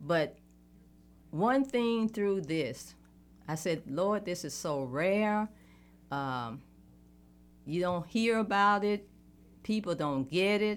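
Speaking in a Southern US accent at a very slow pace with long, frequent pauses, a woman uses medium pitch and lively intonation. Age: 60s. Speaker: politician. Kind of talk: interview.

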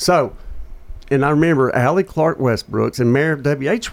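A man talks in a Tennessee accent with ordinary pitch variation. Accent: US Southern (Tennessee). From Murfreesboro, Tennessee. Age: 50s. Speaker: radio talk show host. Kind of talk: casual chat. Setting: studio.

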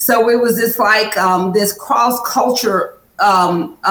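A woman's fairly high voice with ordinary pitch variation at a very slow pace, in audible room echo. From Kentucky, Lexington. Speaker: political candidate. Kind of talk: interview. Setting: studio.

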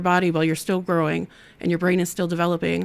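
With a Midwestern American accent, a woman speaks at a medium pitch in a monotone, flat way, in a very clean recording with a silent background. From Ohio (Toledo). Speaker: nonprofit outreach director. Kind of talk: interview testimony.

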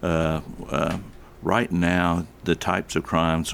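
A man's very deep, low voice with a Southern US accent. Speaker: police chief. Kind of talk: radio interview. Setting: studio.

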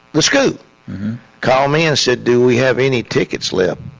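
A man with a Tennessee accent speaks at a moderate pace and a medium pitch. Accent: Southern US (Tennessee). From Middle Tennessee, US South. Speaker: college basketball coach. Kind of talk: radio interview. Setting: studio.

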